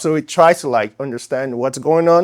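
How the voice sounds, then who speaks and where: A man speaks in an African accent at a moderate pace. His intonation stays fairly even. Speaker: startup founder. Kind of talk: pitch Q&A. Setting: stage with audience.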